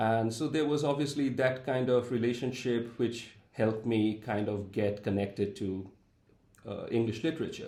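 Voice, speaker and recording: There is audible room echo as a man speaks. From India, Calcutta. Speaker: professor. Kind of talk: interview.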